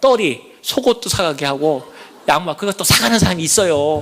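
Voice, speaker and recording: In a plain, everyday voice, a man speaks at a moderate pace with a fairly high pitch. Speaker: church elder giving testimony. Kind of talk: testimony.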